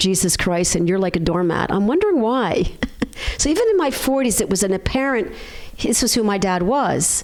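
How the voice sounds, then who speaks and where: A woman with a Philadelphia accent and a medium pitch speaks at a fairly quick pace over noticeable background noise. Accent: American, Philadelphia. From US, Philadelphia. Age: 60s. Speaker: chiropractor. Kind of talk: interview.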